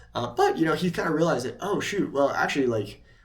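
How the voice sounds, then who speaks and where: Over audible room echo, a man speaks at a very fast pace. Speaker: YouTube creator. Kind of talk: casual talking-head monologue. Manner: hesitant, many fillers.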